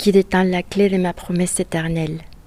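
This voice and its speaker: Noticeable background noise under a woman's fairly low-pitched voice. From Chile. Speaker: university student. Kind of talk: reading aloud.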